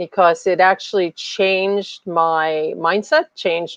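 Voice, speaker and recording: A woman speaks with an unremarkable speaking voice. Her pitch is fairly low and her intonation fairly even. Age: 60s. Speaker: summit speaker, running coach. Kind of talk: live interview. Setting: live stream.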